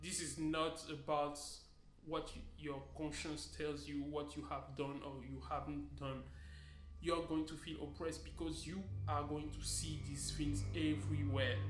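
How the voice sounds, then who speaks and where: Over background music and audible room echo, a man talks at a fairly slow pace and fairly low pitch, his pitch swinging very widely. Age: young. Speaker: vlogger. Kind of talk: vlog monologue. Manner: calm.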